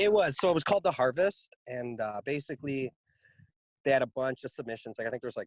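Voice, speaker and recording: Talking at a very fast pace with lively intonation, a man is heard in a dry, close sound with no echo. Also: medium pitch for a man. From Canada, Toronto area. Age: 30s. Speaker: rapper. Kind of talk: interview. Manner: casual, filler-heavy.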